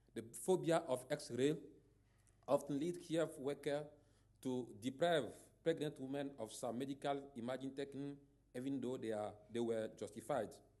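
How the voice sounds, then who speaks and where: Speaking with a West African French accent, a man uses a fairly high pitch and a dark, mellow tone with fairly even intonation. He keeps a moderate pace, broken by long, frequent pauses. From Togo. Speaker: radiologist and professor. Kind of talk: conference talk. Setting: conference stage. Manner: halting.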